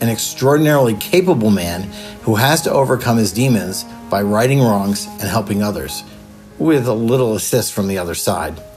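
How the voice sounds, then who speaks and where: A man's fairly low voice, fairly quick and with lively intonation, over music in the background. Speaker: author. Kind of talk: interview answer.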